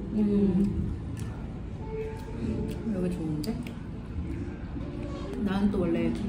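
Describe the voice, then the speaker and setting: Someone speaks at a very slow pace against loud background noise. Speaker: vlogger dining with friend. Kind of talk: casual vlog chat. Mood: relaxed, pleased. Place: cafe.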